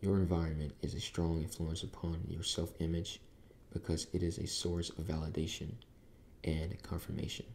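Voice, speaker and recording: A soft-spoken voice, dark and mellow, with a calm tone and somewhat breathy delivery. The intonation stays fairly even at a moderate pace. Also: man. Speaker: ASMR creator. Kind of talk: book reading for sleep. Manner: soft-spoken, calm. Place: home room.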